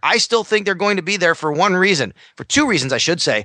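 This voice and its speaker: Raising and projecting his voice, a man speaks at a very fast pace with high pitch, a bright, sharp tone and ordinary pitch variation, in a dry, close sound with no echo. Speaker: sports radio host. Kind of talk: casual sports interview.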